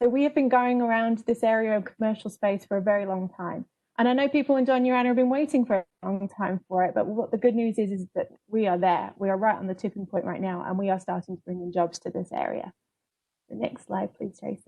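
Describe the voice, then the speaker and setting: A woman talks at a very fast pace with a British accent. Her pitch sits at a medium level. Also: ordinary pitch variation. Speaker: public relations coordinator. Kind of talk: presentation on a panel webinar.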